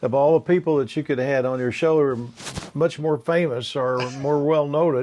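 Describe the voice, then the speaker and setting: With an American accent, this voice has a dark, mellow tone, fairly even intonation and a moderate pace. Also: man. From southern Indiana. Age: 80s+. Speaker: author and grandfather. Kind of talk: interview.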